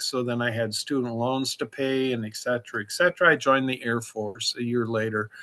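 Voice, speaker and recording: A man speaks at a moderate pace in a medium pitch, his bright, sharp tone carried by fairly even intonation. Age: 60s. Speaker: recovering alcoholic, memoir author. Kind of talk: interview testimony.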